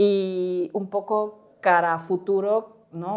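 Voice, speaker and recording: This is a woman's voice. Her pitch sits fairly low. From Spain. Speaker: startup co-founder; guest. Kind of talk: interview. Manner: halting. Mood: friendly, smiling. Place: studio. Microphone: lapel.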